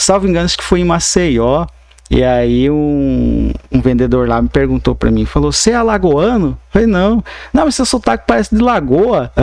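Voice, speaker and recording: Background noise is noticeable here. A male speaker keeps a moderate pace. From Mato Grosso, Brazil (Alto Paraguai). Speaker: lawyer and university professor. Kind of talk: podcast interview. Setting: studio podcast, live.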